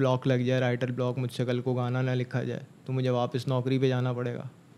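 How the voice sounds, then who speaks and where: A man talks at a moderate pace. His voice has a dark, mellow tone. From Karachi, Pakistan. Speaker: rapper; podcast guest. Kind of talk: casual interview. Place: studio.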